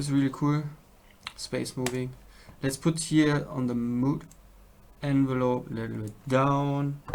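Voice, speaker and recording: A man with a German accent, fairly high pitch and monotone, flat intonation, at a fairly slow pace with long, frequent pauses and noticeable background noise. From Germany. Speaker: music producer. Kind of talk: tutorial. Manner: halting.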